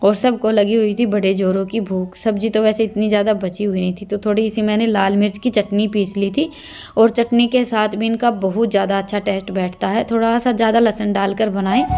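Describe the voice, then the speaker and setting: A woman's medium-pitched, flat monotone voice over noticeable background noise. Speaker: village vlogger. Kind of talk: vlog narration.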